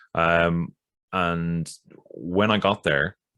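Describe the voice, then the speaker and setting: In an Irish accent, a man speaks with a very deep, low pitch and a bright, sharp tone. His intonation is fairly even, and the recording is very clean with a silent background. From Ireland. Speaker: podcast guest, occult researcher and witch. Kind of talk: podcast interview answer. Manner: soft-spoken.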